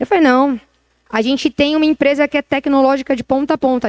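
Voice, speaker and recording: A woman speaks at a very fast pace with a high pitch and an animated tone. The sound is dry and close with no echo. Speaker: retail tech executive. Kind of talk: interview talk on stage.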